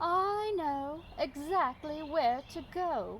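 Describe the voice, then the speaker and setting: A woman uses a high-pitched, put-on character voice at a very slow pace. Clear background noise runs behind her. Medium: read story.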